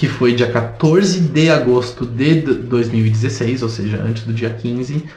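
This man talks at a very slow pace with hardly any pauses, at medium pitch with ordinary pitch variation. Noticeable background noise sits behind him. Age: 30s. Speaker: podcast co-host. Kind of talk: casual chat.

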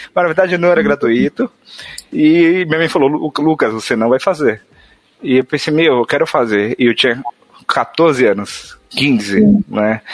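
With music in the background, a man's fairly high voice makes very wide pitch swings while his loudness stays very even, in a dry, close recording with no echo. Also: fairly slow pace. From São Paulo, Brazil, Northeastern parents. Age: 20s. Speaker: software developer. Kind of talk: casual chat.

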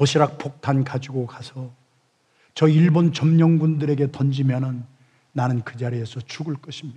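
A somewhat breathy, dark, mellow male voice, fairly high in pitch, at a moderate pace with big swings in loudness. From South Korea, Chungcheong (Yesan). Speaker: pastor. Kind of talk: sermon.

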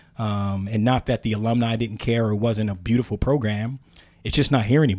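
An ordinary speaking voice moves at a fairly quick pace with fairly even intonation on a very clean recording with a silent background. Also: man, medium pitch for a man. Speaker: volunteer track coach and business owner. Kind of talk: casual chat. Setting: studio.

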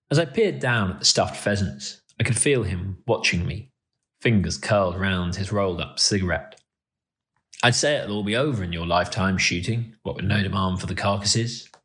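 Speaking in a calm tone at a fairly quick pace, a man uses a fairly low pitch with ordinary pitch variation. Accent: British. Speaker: columnist reading his own column. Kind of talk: literary audiobook reading of a country column. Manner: calm, measured, understated.

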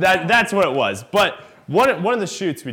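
Speaking at a moderate pace with an American accent, a man uses a bright, sharp tone and very wide pitch swings. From Iowa. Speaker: comedian. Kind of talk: storytelling. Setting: stage with audience.

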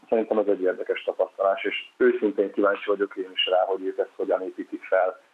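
Talking at a fairly quick pace, a man barely pauses at all. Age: young. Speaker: handball coach. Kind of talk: podcast interview. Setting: phone or remote line.

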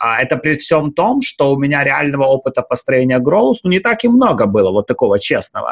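Hardly pausing, a man with a fairly high pitch speaks at a fairly quick pace, his pitch swinging very widely while his loudness stays very even. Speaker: podcast co-host. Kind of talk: podcast interview.

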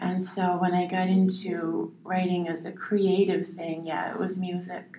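A woman speaks at a medium pitch in a flat, monotone way, at a fairly slow pace. She hardly pauses, and noticeable background noise runs underneath. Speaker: songwriter and poet. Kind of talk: casual chat. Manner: halting, spacey-sounding.

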